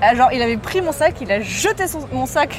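The voice moves at a moderate pace with very wide pitch swings, over noticeable background noise. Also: woman. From Morocco. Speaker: podcast host. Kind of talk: casual chat.

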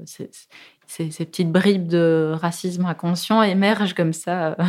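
A woman talks at a fairly slow pace with fairly even intonation. Her pitch is fairly low, and the recording is very clean with a silent background. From Germany (Soest), then southern Belgium (Ardennes) from 13. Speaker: film director. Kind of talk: interview. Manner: hesitant, many fillers.

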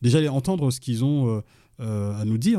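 The very clean recording, with a silent background, carries a man's dark, mellow tone. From Mali, then France from age 15. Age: 40s. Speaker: police officer and author. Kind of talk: interview. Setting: at guest's home. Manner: hesitant, filler-heavy.

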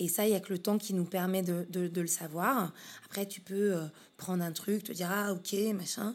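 At a moderate pace, a medium-pitched woman speaks with fairly even intonation. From Paris region, France. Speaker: business consultant. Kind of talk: interview. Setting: her office.

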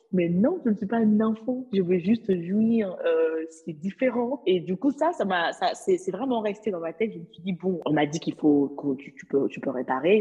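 A woman speaks at a moderate pace in a medium pitch. Her animated tone moves through very wide pitch swings. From Mali. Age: 20s. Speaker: legal assistant. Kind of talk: interview.

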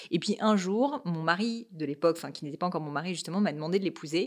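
The voice is an ordinary speaking voice at a fairly quick pace. The recording is very clean, with a silent background. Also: woman. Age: 30s. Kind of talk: casual interview.

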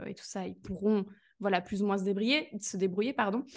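A woman speaks in an ordinary speaking voice. The background is quiet. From Belgium. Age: 20s. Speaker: business coach. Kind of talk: casual interview chat.

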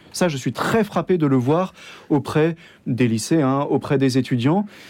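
The man has a fairly high pitch and a dark, mellow tone. He keeps a moderate pace with ordinary pitch variation. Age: 30s. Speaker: Dominican priest. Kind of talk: radio interview. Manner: enthusiastic; hesitant with many fillers.

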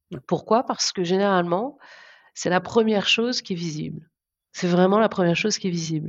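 A fairly quick, medium-pitched woman's voice with ordinary pitch variation. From France, southern Brittany (Guérande area). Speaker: marketing executive. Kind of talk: interview. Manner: halting, many repetitions and fillers.

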